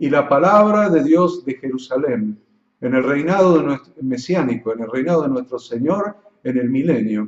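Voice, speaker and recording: A man talks fairly slowly, his intonation lively. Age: 60s. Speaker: pastor. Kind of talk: teaching for pastors. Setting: live broadcast. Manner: hesitant fillers.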